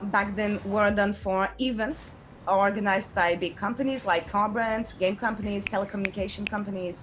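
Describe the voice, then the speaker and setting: Against noticeable background noise, a woman talks at a moderate pace in a medium pitch. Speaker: game designer and artist. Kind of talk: online workshop presentation. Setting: video call. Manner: hesitant, with fillers.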